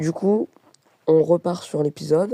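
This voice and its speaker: A woman speaks with a fairly low pitch and a dark, mellow tone. The sound is dry and close, with no echo. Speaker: gaming youtuber. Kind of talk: gameplay voice-over tutorial. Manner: hesitant, many filler sounds.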